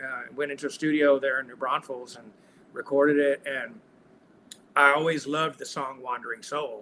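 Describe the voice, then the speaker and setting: A man with a Texan accent, fairly high pitch and monotone, flat intonation, at a moderate pace with big swings in loudness. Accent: Texan Southern US. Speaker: singer-songwriter. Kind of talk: casual interview chat. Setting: video call. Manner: halting.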